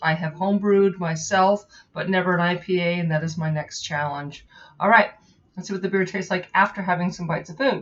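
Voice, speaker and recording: Very fast and somewhat breathy, the voice holds a fairly even intonation. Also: woman, medium pitch for a woman. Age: 40s. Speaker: software tester and home brewer; beer reviewer. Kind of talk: casual beer review to camera.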